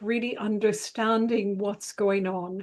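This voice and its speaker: At a fairly slow pace, a woman speaks with a fairly high pitch and ordinary pitch variation. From Ireland. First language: Italian. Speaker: psychotherapist and relationship astrologer. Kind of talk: interview.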